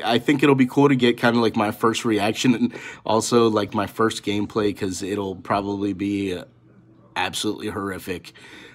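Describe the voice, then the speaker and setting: This man's fairly low pitch moves with ordinary pitch variation. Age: 30s. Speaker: gaming YouTuber; gaming channel host. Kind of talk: casual vlog talk to camera. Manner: halting, many fillers. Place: home room. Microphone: phone near.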